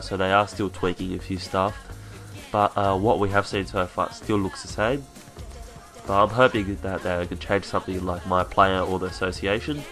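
Music plays behind a man speaking. His pitch is fairly low, with ordinary pitch variation. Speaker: gaming commentator. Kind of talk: video game commentary. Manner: fast.

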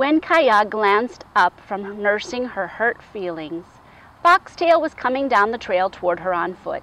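What you hear is a natural reading voice.

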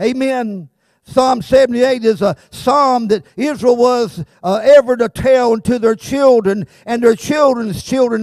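The voice has an American accent and ordinary pitch variation. The sound is dry with no echo, against a quiet background. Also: man. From South Carolina. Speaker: pastor. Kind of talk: sermon. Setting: church. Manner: animated. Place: church. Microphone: handheld.

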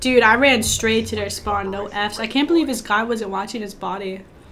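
A woman speaks at a moderate pace with a fairly high pitch. Noticeable background noise sits behind her voice. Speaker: gaming streamer. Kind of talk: live gameplay commentary. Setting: online voice chat. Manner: animated.

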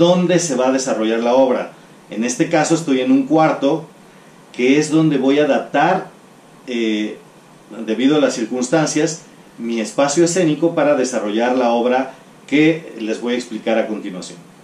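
A man talks at a moderate pace with ordinary pitch variation. Room echo can be heard around his voice. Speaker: teacher. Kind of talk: lecture. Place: home room.

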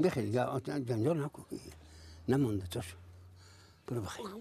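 The recording is dry, without echo. A male voice comes through noticeable background noise. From Afghanistan. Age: 80s+. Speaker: traditional bone setter. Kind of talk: interview answer. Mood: weary, reflective. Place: home room.

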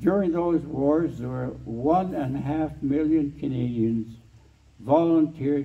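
Ordinary pitch variation in a man's somewhat breathy voice. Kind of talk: interview answer. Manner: frail elderly voice, slow measured speech. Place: hall. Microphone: handheld.

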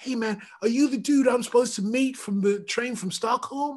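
A female-sounding voice in a put-on character voice speaks at a fairly high pitch and a moderate pace. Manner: casual, cool.

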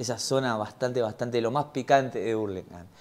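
A man with a dark, mellow tone speaks at a moderate pace with an Argentine accent. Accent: Rioplatense Argentine Spanish. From Argentina. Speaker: podcast host. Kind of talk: casual interview chat; casual intro to camera. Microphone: lapel.

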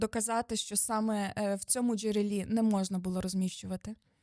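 A woman's dark, mellow tone at a moderate pace, dry and close with no echo, in a very clean recording against a silent background. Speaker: lawyer. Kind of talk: expert explanation, interview. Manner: precise, formal, explanatory.

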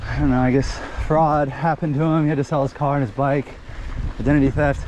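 A man's voice with fairly even intonation, in a dry sound with no echo, amid noticeable background noise. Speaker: mountain bike vlogger. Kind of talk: casual vlog chat. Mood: reflective, a bit anxious. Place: bicycle. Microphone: helmet.

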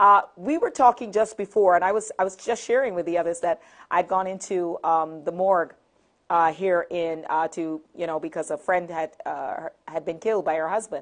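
Against a quiet background, a woman with a fairly low pitch talks at a moderate pace with ordinary pitch variation. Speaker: TV talk show host. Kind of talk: talk show hosting. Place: studio.

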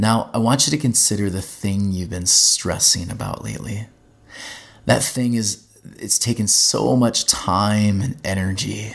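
The pace is fairly slow. It is an ordinary speaking voice. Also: man, fairly low pitch for a man, ordinary pitch variation. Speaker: teaching pastor and podcaster. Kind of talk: guided meditation, then teaching talk; monologue podcast teaching. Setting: podcast, solo recording. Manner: calm, slow, soothing; gentle, instructive.

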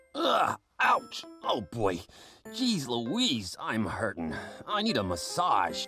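A put-on character voice at a low-to-middle pitch and a very slow pace, with faint music in the background. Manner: whiny, complaining.

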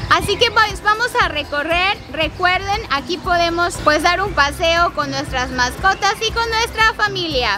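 A woman talks at a fairly slow pace in a raised, projected voice while music plays clearly in the background. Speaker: travel vlogger. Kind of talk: travel vlog presentation. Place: garden.

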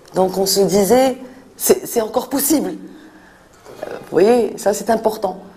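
With big swings in loudness, a woman speaks very slowly in a fairly high voice with ordinary pitch variation. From Morocco, Fès. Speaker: NGO director for street children. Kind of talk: interview. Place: office.

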